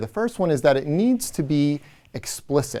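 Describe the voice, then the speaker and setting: At a moderate pace, a man with a slight Midwestern American accent speaks with lively intonation. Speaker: education professor. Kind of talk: lecture. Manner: halting, many fillers.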